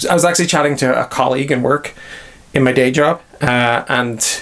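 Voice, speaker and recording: With a Northern Irish accent, this man talks at a medium pitch. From Northern Ireland. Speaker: miniature hobby YouTuber. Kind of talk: casual talk to camera.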